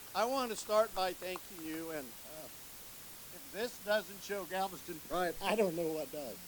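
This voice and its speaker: A high-pitched man with an American accent, ordinary pitch variation and a moderate pace, over noticeable background noise. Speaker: park board chief executive. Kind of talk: ceremony speech. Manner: loud.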